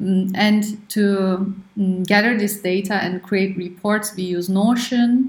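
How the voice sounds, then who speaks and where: A somewhat breathy woman's voice is heard with audible room echo. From Turkey. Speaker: startup co-founder and engineer. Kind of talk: interview.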